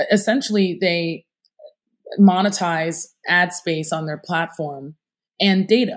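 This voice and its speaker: A woman with an American accent, fairly low pitch, ordinary pitch variation, a fairly slow pace and long, frequent pauses. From upstate New York, US. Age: 30s. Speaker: entrepreneur. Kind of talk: interview.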